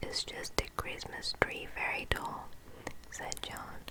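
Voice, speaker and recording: Very slow whispering is heard through noticeable background noise. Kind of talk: whispered book reading for relaxation. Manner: whispered, soft, close-mic.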